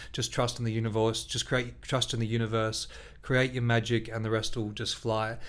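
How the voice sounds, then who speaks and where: Using monotone, flat intonation, a man speaks at a moderate pace in a medium pitch. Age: 40s. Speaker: music teacher and podcast co-host. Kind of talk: casual chat.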